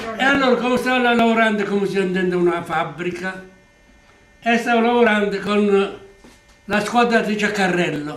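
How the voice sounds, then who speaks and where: A man with an Apulian accent talks at a moderate pace with a high pitch and ordinary pitch variation. Long, frequent pauses break his speech over noticeable background noise. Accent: Apulian dialect-tinged Italian. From Polignano, Apulia, southern Italy. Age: 80s+. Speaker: former emigrant carpenter. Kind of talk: interview answer.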